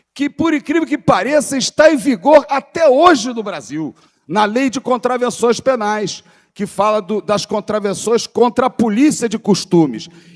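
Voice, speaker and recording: Dry and close with no echo, a man's extremely high-pitched voice moves at a fairly slow pace with lively intonation. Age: 60s. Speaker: panel speaker on cannabis history. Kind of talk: seminar panel talk.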